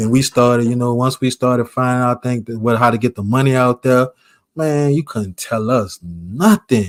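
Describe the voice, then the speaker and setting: A speaker with an American accent talks at a moderate pace. The recording is very clean, with a silent background and a dry, close sound with no echo. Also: man, medium pitch for a man, ordinary pitch variation. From New Orleans, Louisiana. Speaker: vlogger. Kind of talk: casual storytelling monologue.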